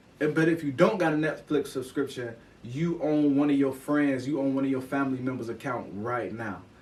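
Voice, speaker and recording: Audible room echo surrounds a man with an American accent who speaks at a fairly quick pace with fairly high pitch and ordinary pitch variation. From Chicago west side and Oak Park suburb. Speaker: podcast host, motivational speaker. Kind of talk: motivational podcast monologue. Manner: animated.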